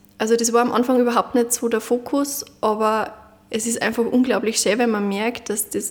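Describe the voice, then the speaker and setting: This woman's voice sits fairly high. She delivers her words in a flat, monotone way. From Upper Austria, Munderfing. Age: 20s. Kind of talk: interview.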